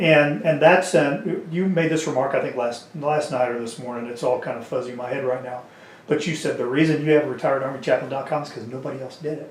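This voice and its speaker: A man with a Kansas accent talks at a very fast pace, his pitch fairly high and his intonation fairly even, with big swings in loudness. Audible room echo and noticeable background noise fill the recording. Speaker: interviewer, veteran community organizer. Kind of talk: casual interview. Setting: on camera.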